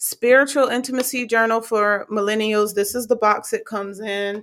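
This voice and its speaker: A normal speaking voice from a woman, at a moderate pace, fairly high-pitched and fairly even in intonation. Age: 20s. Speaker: faith podcast host. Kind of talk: casual monologue.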